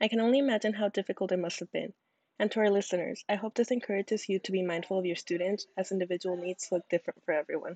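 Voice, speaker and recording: With a dark, mellow tone and medium pitch, a woman speaks at a very fast pace with fairly even intonation in a dry, close sound with no echo. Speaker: podcast host. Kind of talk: scripted student podcast.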